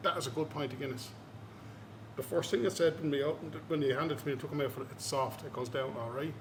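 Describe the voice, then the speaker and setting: A man with an Irish accent at a very fast pace and fairly high pitch, over noticeable background noise. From Ireland. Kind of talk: casual chat. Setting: brewery. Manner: animated.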